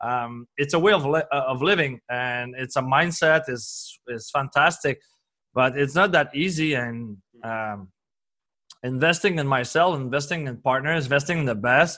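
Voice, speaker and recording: Speaking at a moderate pace over a quiet background, a man uses a fairly high pitch, ordinary pitch variation and a bright, sharp tone. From Quebec, Canada. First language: French. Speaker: performance coach and entrepreneur. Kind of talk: podcast interview. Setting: recorded at a conference. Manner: halting, many fillers and restarts.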